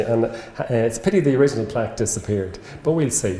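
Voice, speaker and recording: A man with an Irish accent at a very fast pace, lively intonation, audible room echo and noticeable background noise. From Ireland. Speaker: medical professor. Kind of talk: lecture. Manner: halting.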